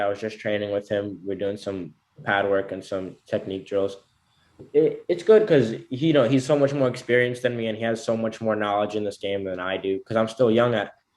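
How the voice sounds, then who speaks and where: Speaking at a fairly quick pace, a man of medium pitch shows ordinary pitch variation. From United States, born in Belarus. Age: 18. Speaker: amateur MMA fighter. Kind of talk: interview. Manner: halting.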